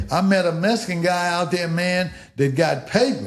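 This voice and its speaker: Audible room echo follows a man speaking at a high pitch. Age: 70s. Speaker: podcast guest. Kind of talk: casual interview chat.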